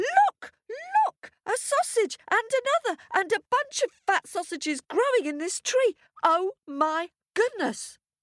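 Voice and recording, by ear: In a put-on character voice, a woman speaks slowly at an extremely high pitch with big pitch swings and a fairly bright tone, captured in a very clean recording with a silent background and a dry, close sound with no echo.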